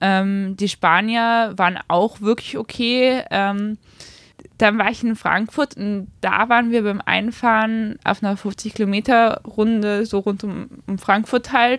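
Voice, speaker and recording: A woman speaks very slowly at a fairly high pitch, with fairly even intonation. Her slight northern German accent comes through a dry, close sound with no echo. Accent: slight non-Viennese, northern German tinge. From Austria, Vienna. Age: 20s. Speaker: amateur road cyclist. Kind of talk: interview. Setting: bike shop.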